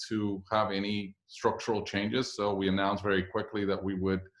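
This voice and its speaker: A man with a Spanish accent speaks at a moderate pace. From Puerto Rico. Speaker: business executive. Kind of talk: guest talk to a class. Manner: hesitant with fillers.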